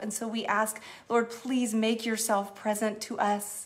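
At a fairly slow pace, a woman talks in a fairly high, warm voice with flat, monotone intonation. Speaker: church executive minister leading online prayer. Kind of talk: fervent prayer, earnest spoken petition to God with a hushed, intimate tone. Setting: Facebook Live stream, online church gathering. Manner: warm, heartfelt, sincere, gently pleading and affectionate. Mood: earnest, prayerful. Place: home room. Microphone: phone near.

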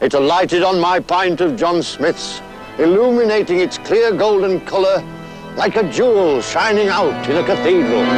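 There is light background noise behind a man whose voice sounds dry, with no echo. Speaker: actor in advert. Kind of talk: scripted dramatic monologue. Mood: wistful, poetic. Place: waterside.

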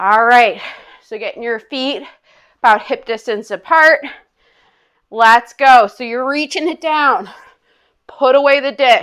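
Over a quiet background, a woman with a high voice and an upbeat, energetic tone talks at a fairly slow pace, with long, frequent pauses, big swings in loudness and ordinary pitch variation. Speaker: fitness instructor. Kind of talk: guided exercise class. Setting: online video class. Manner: upbeat, energetic, coaching in short commands; counts aloud and paces reps with timing cues. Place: home room.

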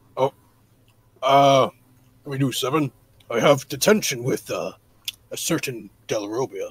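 A man speaks in a put-on character voice with a fairly high pitch. His pace is moderate, broken by long, frequent pauses. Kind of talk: improvised character dialogue.

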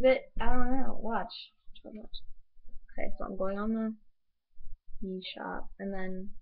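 A woman's fairly high voice at a fairly slow pace, fairly even intonation, big swings in loudness, long and frequent pauses, and a quiet background. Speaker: the uploader's girlfriend. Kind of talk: casual vlog chat. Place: home room. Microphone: webcam.

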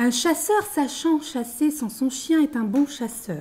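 A woman speaking at a fairly slow pace, with very wide pitch swings. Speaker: foreign guest speaker. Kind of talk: presentation to schoolchildren; reading tongue twisters aloud.

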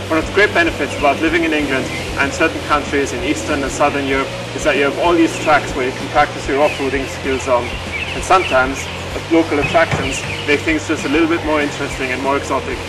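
Music plays in the background. Over it, a man speaks at a very fast pace. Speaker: motorcycle channel host. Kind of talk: casual vlog chat. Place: open country.

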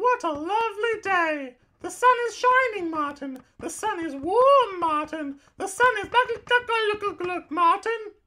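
A cartoonish character voice at an extremely high pitch talks at a fairly slow pace. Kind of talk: comic overacting. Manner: melodramatic, comic overacting.

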